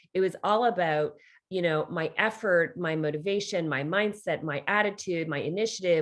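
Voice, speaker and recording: A woman with a plain, everyday voice in a Canadian accent, fairly low in pitch with ordinary pitch variation. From Canada. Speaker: leadership coach and author. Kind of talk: interview. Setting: podcast interview. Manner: conversational, many fillers.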